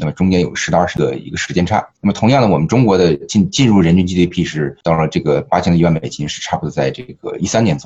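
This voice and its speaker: A man's very deep, low voice at a very fast pace, with hardly any pauses. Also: ordinary pitch variation. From Northeast China, Liaoning. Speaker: restaurant co-founder and CEO. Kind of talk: podcast interview.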